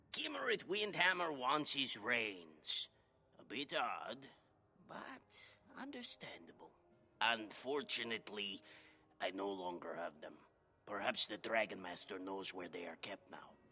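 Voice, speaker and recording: A man puts on a character voice at a medium pitch. He moves at a moderate pace with long, frequent pauses. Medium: video game.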